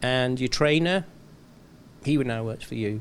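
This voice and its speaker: This is a man's voice at medium pitch. Its pitch varies in an ordinary way. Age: 60s. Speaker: retired racing car engineer. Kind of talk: interview. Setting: studio.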